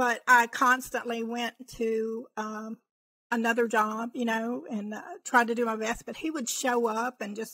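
In a dry recording with no echo, a woman speaks at a fairly slow pace in a fairly high pitch, her tone bright and sharp and her intonation fairly even. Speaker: podcast guest telling her story. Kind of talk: interview answer, personal story. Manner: quiet, calm. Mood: reflective, recounting painful past. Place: home room. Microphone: studio mic.

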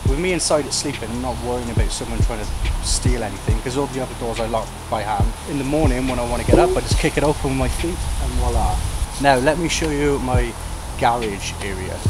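Loud noise fills the background as a man races through his words very fast. No echo at all, just a dry sound. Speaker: travel vlogger. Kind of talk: casual vlog chat. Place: forest. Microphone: camera far.

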